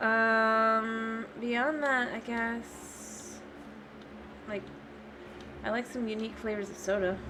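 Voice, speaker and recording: Mumbling at a very slow pace, a woman with an American accent speaks at a fairly high pitch in a bright, sharp tone with monotone, flat intonation. Long, frequent pauses break up her speech, and the room echo is audible. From Florida, US. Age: 20s. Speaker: gaming streamer. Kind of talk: casual live-stream chat. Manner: hesitant, many fillers.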